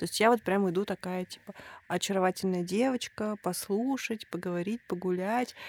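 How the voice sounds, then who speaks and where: A woman talks at a moderate pace with a medium pitch, in a normal speaking voice. The sound is dry and close, with no echo. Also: fairly even intonation. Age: 30s. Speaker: podcast host. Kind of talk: casual chat.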